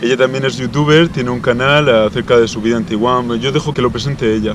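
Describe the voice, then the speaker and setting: Over noticeable background noise, a man speaks very fast. His medium-pitched voice keeps a fairly even intonation. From Spain. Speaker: youtuber. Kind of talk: casual interview.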